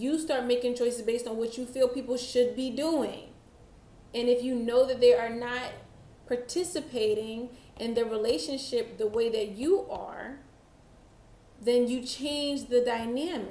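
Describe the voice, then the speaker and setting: A high-pitched woman's voice with ordinary pitch variation and audible room echo. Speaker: tarot reader. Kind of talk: tarot reading monologue. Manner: slow.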